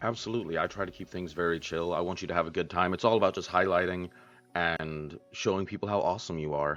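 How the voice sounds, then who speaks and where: With music in the background, a man talks at a very fast pace in a very deep, low pitch and fairly even intonation. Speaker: interviewer, gaming interview host. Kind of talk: casual. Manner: relaxed, chill.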